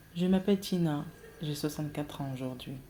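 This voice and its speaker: Over music in the background, a woman speaks in a very deep, low pitch with ordinary pitch variation. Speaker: storyteller. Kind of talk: reading aloud.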